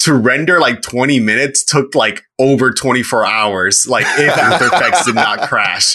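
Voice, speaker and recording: Here a man talks in a normal speaking voice. His pace is moderate and his pitch is medium. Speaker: podcast guest, animator. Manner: casual, rambling.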